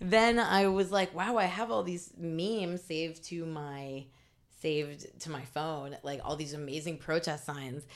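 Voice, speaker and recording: Her voice plain and everyday, a woman speaks at a moderate pace with a fairly low pitch and ordinary pitch variation in a very clean recording with a silent background. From Indiana, US Midwest. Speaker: meme page founder. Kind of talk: casual interview.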